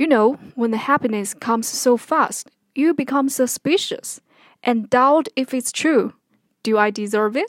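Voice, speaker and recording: In a Chinese accent, a high-pitched woman speaks at a fairly slow pace with ordinary pitch variation, the sound dry and close with no echo on a very clean recording with a silent background. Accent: Mandarin Chinese. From China (Henan). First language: Mandarin Chinese. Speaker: podcaster. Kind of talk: personal commentary monologue.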